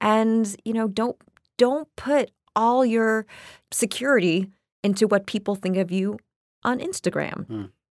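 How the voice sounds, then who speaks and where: Fairly high in pitch, a woman talks at a fairly slow pace with ordinary pitch variation and long, frequent pauses. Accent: American. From US East Coast. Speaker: actress. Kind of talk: interview conversation. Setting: recording studio.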